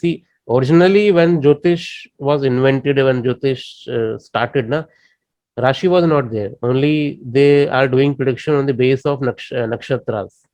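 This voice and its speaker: Speaking with an Indian accent at a moderate pace, a man has a fairly high pitch and a dark, mellow tone. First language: Indian language. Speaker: astrology teacher. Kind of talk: lecture. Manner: halting.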